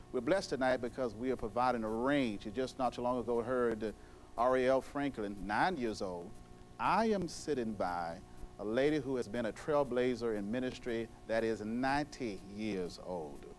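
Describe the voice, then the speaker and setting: A man's medium-pitched voice with ordinary pitch variation at a moderate pace, music playing in the background. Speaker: TV talk show host. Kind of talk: TV show introduction.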